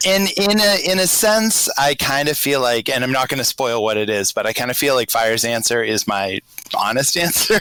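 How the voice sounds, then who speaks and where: Speaking with a slight Boston accent at a moderate pace, a man keeps his loudness very even, swings his pitch very widely, and barely pauses, over noticeable background noise. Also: medium pitch for a man. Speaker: patron on podcast chat. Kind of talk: casual group chat. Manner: halting, many fillers.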